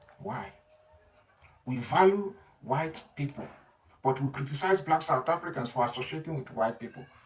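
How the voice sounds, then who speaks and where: The speech moves at a moderate pace with ordinary pitch variation and long, frequent pauses against noticeable background noise. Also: man, fairly high pitch for a man. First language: not English. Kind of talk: opinion monologue.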